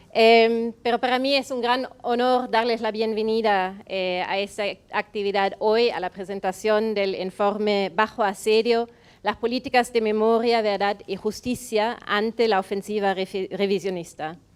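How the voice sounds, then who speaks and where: Fairly even intonation at a fairly slow pace, in a German accent, on a very clean recording with a silent background. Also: woman, fairly high pitch for a woman. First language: German (speaking Spanish). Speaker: foundation representative. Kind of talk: welcome speech read from notes. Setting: event venue with audience.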